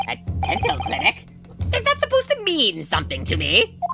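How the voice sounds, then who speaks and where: A woman speaks at a fairly quick pace in a put-on character voice. Music is clearly heard in the background. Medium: fan dub. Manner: sputtering, repeats words when flustered.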